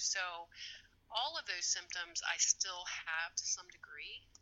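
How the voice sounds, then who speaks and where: A woman speaks at a fairly slow pace. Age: 60s. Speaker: former therapist, brain injury survivor. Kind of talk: interview about her recovery. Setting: call over Facebook. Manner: halting, many fillers.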